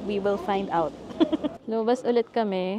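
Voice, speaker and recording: A soft-spoken woman talks at medium pitch with ordinary pitch variation. Noticeable background noise is present. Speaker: travel vlogger. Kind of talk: casual vlog narration. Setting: outdoors in the cold, then restaurant.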